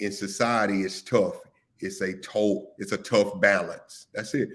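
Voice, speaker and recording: This is an ordinary speaking voice from a man with a fairly low pitch and fairly even intonation. He talks at a fairly slow pace in a very clean recording with a silent background. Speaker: live stream show host. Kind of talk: casual discussion.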